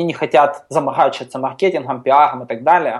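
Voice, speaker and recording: This is a man with a fairly high pitch and ordinary pitch variation. It is an ordinary speaking voice. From Ukraine, Kharkiv. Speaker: software company CTO. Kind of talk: casual interview. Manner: many filler sounds.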